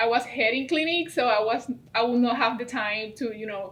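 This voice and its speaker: Speaking in a Puerto Rican accent, a woman with a high pitch talks at a moderate pace with ordinary pitch variation. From Puerto Rico, Bayamón. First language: Spanish. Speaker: veterinary student. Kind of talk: interview.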